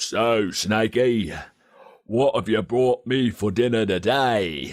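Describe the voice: Putting on a character voice, a man speaks at medium pitch and a very slow pace, his loudness very even throughout.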